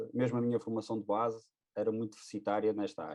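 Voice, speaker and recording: A man's voice, medium in pitch, with a dark, mellow tone. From northern Portugal, Porto. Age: 30s. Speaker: air force firefighter, webcast co-host. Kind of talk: casual webcast conversation. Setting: webcast.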